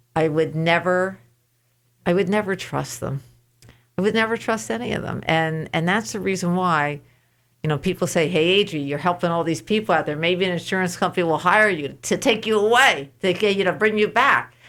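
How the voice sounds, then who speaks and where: A plain, everyday voice with an American accent, delivered at a fairly quick pace with ordinary pitch variation. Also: woman, fairly low pitch for a woman. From New York State. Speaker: insurance claims advocate. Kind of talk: radio interview.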